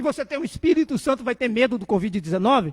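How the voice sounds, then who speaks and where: Fairly quick and lively in intonation, the voice has a dry, close sound with no echo. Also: man. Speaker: preacher. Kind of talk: sermon. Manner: fast.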